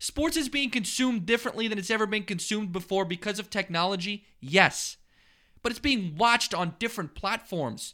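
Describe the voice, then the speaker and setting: A man with an American accent projects a raised, high-pitched voice with a bright, sharp tone and lively intonation on a very clean recording with a silent background. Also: fairly quick pace. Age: 20s. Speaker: sports podcast host. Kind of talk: casual sports talk.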